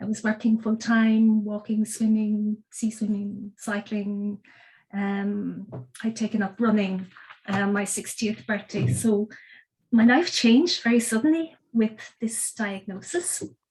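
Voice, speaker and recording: Fairly high-pitched and somewhat breathy, a woman with an Irish accent speaks at a fairly slow pace with ordinary pitch variation. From Ireland. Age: 60s. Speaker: cancer patient. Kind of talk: testimony.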